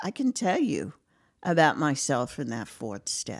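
In a very clean recording with a silent background, a woman with a New York accent talks at a very slow pace in a fairly low pitch. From Brooklyn, New York. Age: 60s. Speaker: retiree in recovery. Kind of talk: casual chat.

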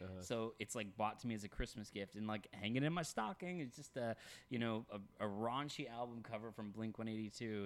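A man with an American accent speaks at a moderate pace with a fairly low pitch. He has a normal speaking voice, captured in a very clean recording with a silent background. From Texas. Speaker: podcast co-host. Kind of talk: casual chat.

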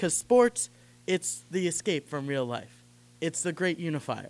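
A man speaks in a plain, everyday voice at a moderate pace, with ordinary pitch variation. The recording is very clean, with a silent background. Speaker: student co-host.

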